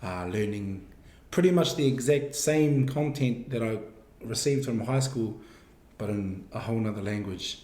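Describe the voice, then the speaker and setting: Somewhat breathy, a man talks with ordinary pitch variation against audible room echo. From New Zealand, Wairoa. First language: Māori. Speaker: university student. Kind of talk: interview.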